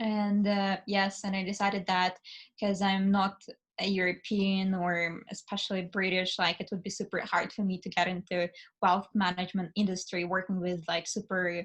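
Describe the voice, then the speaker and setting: A woman with a Russian accent speaks at a moderate pace in a somewhat breathy, medium-pitched voice with flat, monotone intonation against a quiet background. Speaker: finance student and summer analyst. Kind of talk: casual interview. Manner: hesitant, many fillers.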